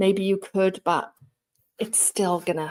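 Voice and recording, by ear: A woman's medium-pitched voice with a slightly mellow tone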